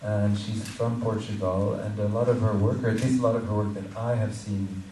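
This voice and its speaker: Amid noticeable background noise and audible room echo, a man with a fairly low pitch speaks at a moderate pace in a monotone, flat intonation. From Morocco. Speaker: symposium curator. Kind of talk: speaker introduction.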